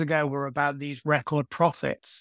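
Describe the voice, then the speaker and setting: A man speaks with a northern English accent at a fairly high pitch. The sound is dry and close, with no echo. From northern England. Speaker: journalist. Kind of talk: interview. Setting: remote call.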